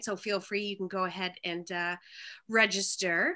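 Against a quiet background, a woman speaks at a moderate pace in a bright, sharp tone with fairly even intonation. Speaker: event chair. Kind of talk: announcement. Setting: video call. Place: home room. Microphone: webcam.

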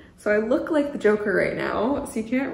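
The voice carries ordinary pitch variation, with audible room echo. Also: woman. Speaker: knitting podcaster. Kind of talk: casual vlog chat. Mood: cheerful, excited. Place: home room. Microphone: camera far.

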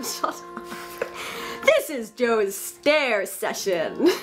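A very slow pace over clear music in the background. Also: woman. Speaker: musician. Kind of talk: casual banter. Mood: joking, laughing. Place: home room. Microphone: camera far.

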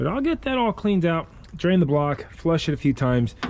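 A man at a moderate pace over light background noise. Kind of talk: casual workshop commentary. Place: garage.

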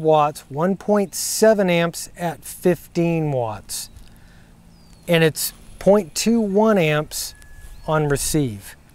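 A man talks at a very slow pace with ordinary pitch variation, the sound dry with no echo. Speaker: ham radio operator reviewing gear. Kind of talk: casual product review vlog. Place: open country. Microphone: lapel.

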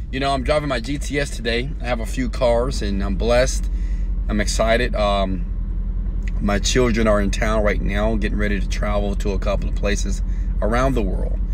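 The pace is moderate and the sound dry, with no echo. Noticeable background noise is present. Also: man. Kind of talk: motivational live stream talk. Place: car. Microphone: earbuds.

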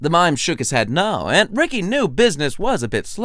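Natural-voiced reading aloud.

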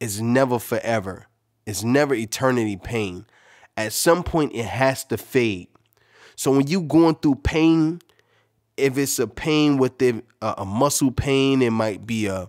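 The background is quiet. A man speaks at a fairly slow pace with ordinary pitch variation. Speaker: podcast host. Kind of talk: motivational podcast monologue. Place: home room.

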